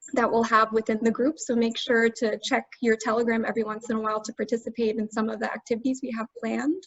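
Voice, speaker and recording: With an American accent, a woman speaks in a fairly high, somewhat breathy voice and fairly even intonation. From United States. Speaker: language tutor. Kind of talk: webinar.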